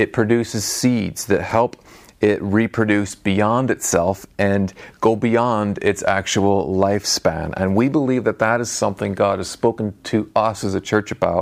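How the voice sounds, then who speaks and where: Music plays in the background as a man speaks at a fairly slow pace. His pitch is fairly low and his intonation fairly even. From outside Northern Ireland, moved to Belfast. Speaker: church pastor. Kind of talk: sermon. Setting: church.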